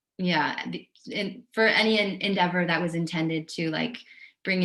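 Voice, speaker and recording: A woman's fairly low voice in monotone, flat intonation, at a moderate pace, with audible room echo. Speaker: oral historian and author. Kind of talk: guest lecture. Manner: many filler ums.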